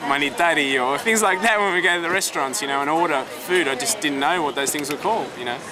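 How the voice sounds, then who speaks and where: Over crowd noise and audible room echo, a man with an Australian accent talks very fast with lively intonation. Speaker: Greek Australian expat. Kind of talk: casual interview.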